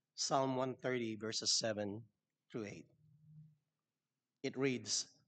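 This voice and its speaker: A man with a medium-pitched voice and fairly even intonation speaks at a very slow pace. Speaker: church speaker giving invitation. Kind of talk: sermon.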